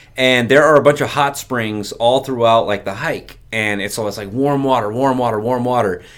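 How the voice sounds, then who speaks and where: Here is an ordinary speaking voice with fairly even intonation. It moves at a moderate pace with hardly any pauses. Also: man, medium pitch for a man. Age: 30s. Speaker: insurance agency owner. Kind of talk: casual chat.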